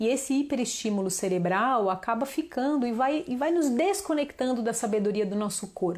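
A woman talks with a high pitch and an animated tone. Her intonation is lively, with hardly any pauses. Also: moderate pace. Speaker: children's yoga teacher. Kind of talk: online class / live talk. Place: home room. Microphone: lapel.

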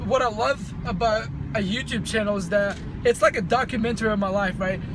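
Amid noticeable background noise, a man talks at a moderate pace in a dry sound with no echo. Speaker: fitness vlogger. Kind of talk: casual vlog chat. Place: car. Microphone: phone near.

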